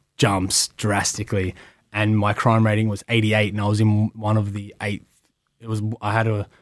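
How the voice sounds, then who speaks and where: A man speaks in an Australian accent at a moderate pace with monotone, flat intonation. The recording is very clean, with a silent background. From Melbourne western suburbs, Australia. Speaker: professional wrestler. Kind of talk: casual interview chat. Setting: studio.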